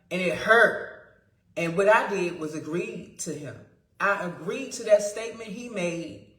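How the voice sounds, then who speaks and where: A woman with a medium-pitched voice speaks at a fairly slow pace in an animated tone, with ordinary pitch variation, big swings in loudness and audible room echo. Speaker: spiritual vlogger. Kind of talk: casual monologue.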